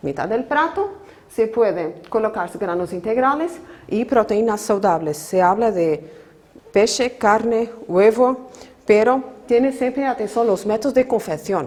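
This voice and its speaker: Over noticeable background noise, a woman with a non-native accent speaks fairly slowly at a fairly high pitch, her intonation lively. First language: Portuguese (speaking Spanish). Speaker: nutrition professor. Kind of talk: lecture. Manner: halting.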